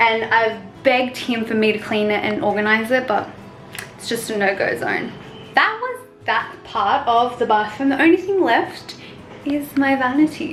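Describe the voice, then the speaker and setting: Noticeable background noise under a woman's high voice, its pitch varying in an ordinary way. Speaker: lifestyle vlogger. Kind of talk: casual vlog walkthrough. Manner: fast; animated.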